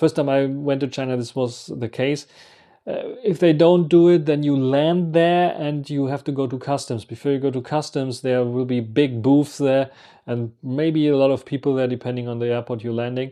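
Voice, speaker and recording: A man with a German accent speaks in a fairly high pitch with fairly even intonation. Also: moderate pace, quiet background. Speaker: travel vlogger. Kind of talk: casual monologue. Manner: halting.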